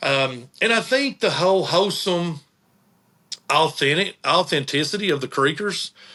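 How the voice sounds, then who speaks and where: With an Appalachian accent, a man speaks at a fairly high pitch in a bright, sharp tone with ordinary pitch variation. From Eastern Kentucky, Appalachia. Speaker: tourism director and band manager. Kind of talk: casual interview chat.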